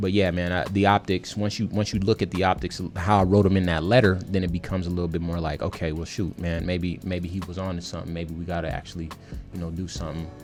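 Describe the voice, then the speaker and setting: Over background music, a man with a very deep, low voice talks at a very fast pace. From US West Coast, Compton, California. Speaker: radio DJ. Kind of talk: casual chat.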